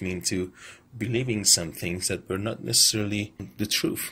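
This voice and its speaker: Somewhat breathy, a man with an Iranian accent speaks with ordinary pitch variation. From Iran, Tehran. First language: Persian. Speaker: vlogger, film commentator. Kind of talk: monologue rant / video essay. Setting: selfie video recording. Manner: halting.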